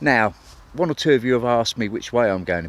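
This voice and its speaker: The speaker is a man. He has an English accent. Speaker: narrowboat vlogger. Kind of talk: vlog narration. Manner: casual, with hesitations.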